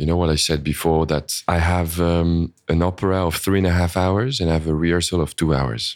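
A man with a French accent speaks at a fairly quick pace in a very deep, low voice, with hardly any pauses and very even loudness. The recording is very clean, with a silent background. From France or French-speaking Switzerland. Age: 30s. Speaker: orchestra conductor. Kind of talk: interview. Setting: recorded in a shop.

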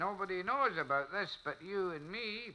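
A man puts on a character voice with a high pitch, a bright, sharp tone and lively intonation, at a moderate pace.

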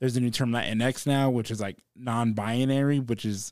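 A man with an American accent has an unremarkable speaking voice at a medium pitch. The recording is very clean, with a silent background. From South Texas, Corpus Christi. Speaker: comedian. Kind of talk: casual chat.

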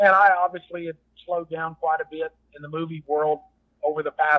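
Speaking with a Texas accent, a man keeps a moderate pace. His fairly high voice has fairly even intonation. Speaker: former actor and rodeo cowboy. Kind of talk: casual interview.

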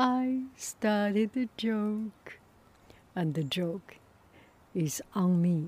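Someone speaks at a very slow pace with long, frequent pauses, lively intonation and a somewhat breathy quality. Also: woman, medium pitch for a woman. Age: 60s. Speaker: artist and podcaster. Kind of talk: casual monologue. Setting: outdoors in backyard.

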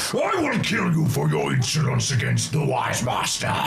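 Over loud background noise, a man puts on a character voice and talks at a moderate pace. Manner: roaring, menacing.

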